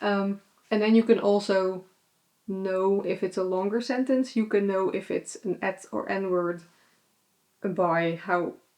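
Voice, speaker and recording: A woman speaks with a Dutch accent at a medium pitch. Her tone is dark and mellow, her intonation fairly even. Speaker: vlogger. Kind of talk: casual chat. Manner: hesitant, many fillers.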